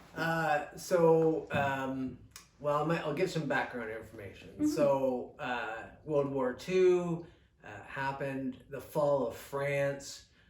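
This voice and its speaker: A man with a fairly high pitch speaks at a very slow pace, his loudness swinging widely and his pitch varying in an ordinary way, over noticeable background noise. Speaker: local historian and author. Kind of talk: oral history interview, explaining history. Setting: recorded at a museum interview.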